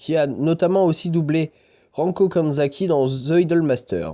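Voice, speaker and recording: Fairly high in pitch with ordinary pitch variation, this man's voice has a dark, mellow tone. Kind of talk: anime review talk to camera.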